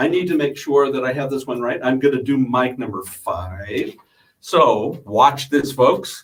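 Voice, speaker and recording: This is a man with a fairly high pitch. His pitch variation is ordinary. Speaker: radio host. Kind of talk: casual chat. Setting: radio studio. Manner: loud.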